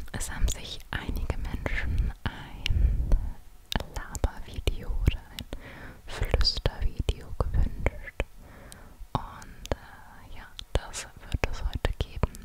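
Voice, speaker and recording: A woman is whispering. Her pace is very slow. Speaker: ASMR creator. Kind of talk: casual chat and whispered guided story. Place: home room. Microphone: studio mic.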